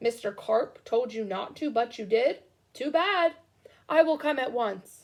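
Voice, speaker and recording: A woman's put-on character voice, high-pitched and lively in intonation, at a fairly slow pace. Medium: read story.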